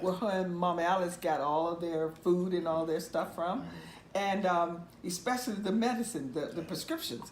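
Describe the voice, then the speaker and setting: With noticeable background noise behind her, a woman with an American accent talks at a moderate pace in a fairly low pitch with ordinary pitch variation. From Mississippi, US South. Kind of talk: oral history interview answer. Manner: conversational, storytelling.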